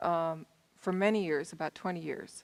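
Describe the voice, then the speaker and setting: A woman has a normal speaking voice, fairly low in pitch. Her pace is moderate and her intonation fairly even. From US Southern California. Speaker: panel moderator. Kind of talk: panel moderation.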